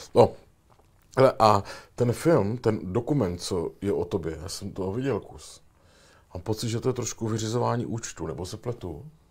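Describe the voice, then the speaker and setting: On a very clean recording with a silent background, a man's somewhat breathy voice sits fairly low, with ordinary pitch variation. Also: moderate pace, big swings in loudness. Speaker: talk show host. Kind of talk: interview.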